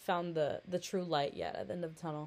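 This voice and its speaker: A woman with a fairly low pitch speaks at a fairly quick pace. Hers is an unremarkable speaking voice, in a very clean recording with a silent background. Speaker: podcaster. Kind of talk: casual solo monologue. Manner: rambling, self-deprecating; informal, chatty.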